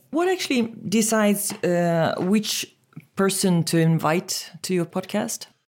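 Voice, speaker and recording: With a normal speaking voice at a medium pitch, a woman talks at a fairly slow pace with ordinary pitch variation and very even loudness, in a very clean recording with a silent background. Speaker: podcast host. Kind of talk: casual interview chat. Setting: studio.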